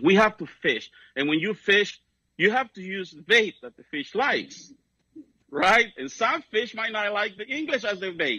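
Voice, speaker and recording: Raising and projecting his voice, a man speaks at a fairly slow pace in a bright, sharp tone, high-pitched for a man with very wide pitch swings, in a dry sound with no echo against a quiet background. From Mexico. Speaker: political activist; speaker. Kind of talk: speech. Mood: animated, storytelling. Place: hall. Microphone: handheld.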